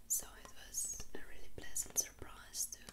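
Against loud background noise, a soft-spoken woman whispers at a very slow pace. Her tone is gentle. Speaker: vlogger. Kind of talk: casual vlog chat. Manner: soft close whisper, gentle ramble. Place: home room. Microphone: phone near.

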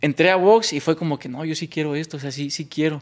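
Talking very fast, a man has a fairly high pitch with ordinary pitch variation. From Mexico, State of Mexico (San Mateo Atenco). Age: 20s. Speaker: professional boxer. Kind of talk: casual interview. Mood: relaxed, reminiscing. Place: studio. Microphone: studio mic.

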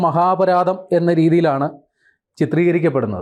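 A man's voice, high in pitch. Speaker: political commentator. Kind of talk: casual chat.

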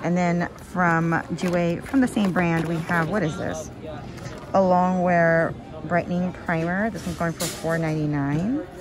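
A woman speaks at a fairly slow pace in a fairly low voice. The sound is dry with no echo, and background noise is noticeable. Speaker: shopping vlogger. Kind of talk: casual shopping haul commentary. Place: shop. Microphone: phone near.

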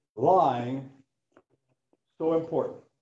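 Background noise is noticeable. Over it, a man talks. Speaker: Bible class teacher. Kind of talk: sermon. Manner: casual, folksy. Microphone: camera far.

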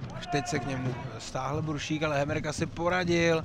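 Noticeable background noise sits behind this man's voice. He speaks at a fairly slow pace and a fairly high pitch. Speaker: sports commentator. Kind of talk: live floorball match commentary, voice-over on highlights. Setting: match broadcast voice-over. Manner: fluent play-by-play with evaluative remarks.

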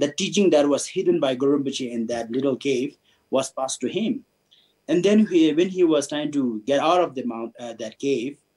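Against a quiet background, a man with a dark, mellow tone speaks at a fairly high pitch and a moderate pace, with ordinary pitch variation. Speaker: Buddhist lama; guest. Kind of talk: panel discussion; storytelling interview answer. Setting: video call. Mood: animated, relaxed narrating. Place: home room. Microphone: video call.

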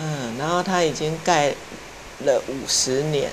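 A woman at a very slow pace, ordinary pitch variation, light background noise. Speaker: tourist. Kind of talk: interview answer. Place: home room. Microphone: lapel.

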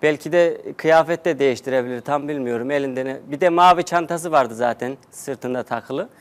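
A man's fairly high voice at a moderate pace, with hardly any pauses and ordinary pitch variation. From Central Anatolia, Turkey (Nevşehir); Central Anatolia, Turkey. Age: 30s. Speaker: TV show participant seeking divorce; guest. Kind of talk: TV talk show interview. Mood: aggrieved, recounting betrayal. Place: studio. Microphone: lapel.

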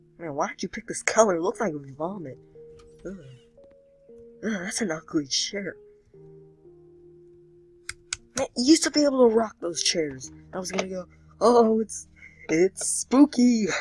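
A woman at a moderate pace, with long, frequent pauses and big swings in loudness, dry sound with no echo, and faint music in the background. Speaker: gamer. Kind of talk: casual gameplay commentary. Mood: playful, mock-complaining. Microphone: webcam.

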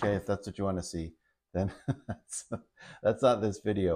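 The voice has fairly even intonation against a quiet background. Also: man. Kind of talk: tutorial. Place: garage.

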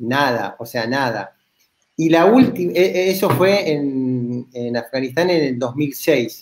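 A man speaks with fairly high pitch and lively intonation. The background is quiet. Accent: Rioplatense. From Argentina. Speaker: guest, travel blogger. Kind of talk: live panel chat. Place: home room.

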